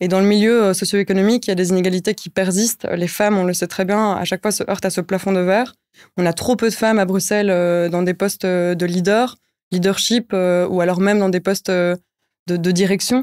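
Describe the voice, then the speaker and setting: A woman talks at a fairly quick pace with monotone, flat intonation. The background is quiet. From Brussels, Belgium. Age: 20s. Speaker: NGO project officer; guest. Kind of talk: interview. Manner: hesitant, many fillers. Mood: calm, earnest. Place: studio. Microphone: studio mic.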